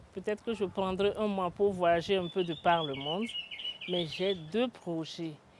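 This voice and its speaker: At a fairly slow pace, a woman speaks with medium pitch and ordinary pitch variation. Noticeable background noise is present. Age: 60s. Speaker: retired company director. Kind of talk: interview.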